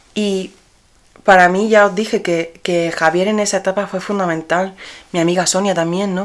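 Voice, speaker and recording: Woman of medium pitch with monotone, flat intonation. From Spain, Granada and Murcia. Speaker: podcast host and dress designer. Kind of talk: personal storytelling podcast. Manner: casual, with fillers and repetitions.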